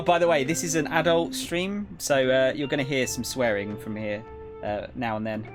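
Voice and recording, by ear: With music in the background, a man with a British accent speaks at a moderate pace with lively intonation. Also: medium pitch for a man.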